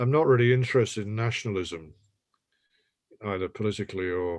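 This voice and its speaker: Very clean recording with a silent background of a man speaking at a fairly low pitch. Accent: English. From England, Irish family. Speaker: poet. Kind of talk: panel discussion.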